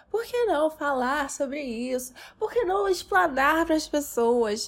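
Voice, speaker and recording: A woman speaks very slowly in a high voice with very wide pitch swings. The recording is very clean, with a silent background. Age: 20s. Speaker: podcast host. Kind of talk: solo monologue. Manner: animated.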